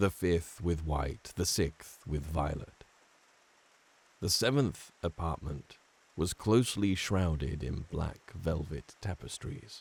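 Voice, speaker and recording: A man's very deep, low voice, dark and mellow in tone and somewhat breathy, at a fairly slow pace. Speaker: voice actor. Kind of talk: horror audiobook narration.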